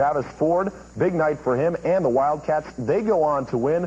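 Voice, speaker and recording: Noticeable background noise sits behind this voice. A man speaks with lively intonation. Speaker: sportscaster. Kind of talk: TV sports news highlights read. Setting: dubbed VHS tape audio.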